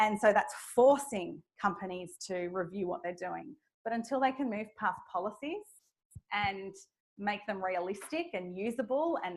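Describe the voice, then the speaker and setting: A woman's medium-pitched voice with an Australian accent and lively intonation, on a very clean recording with a silent background. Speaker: speaker on flexible work, manager. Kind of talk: audience Q&A at a talk. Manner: fast when passionate.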